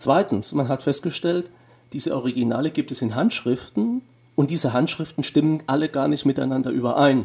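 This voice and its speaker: With a plain, everyday voice, a man speaks at a fairly quick pace and fairly high pitch with ordinary pitch variation. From Germany. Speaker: theology professor. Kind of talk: interview.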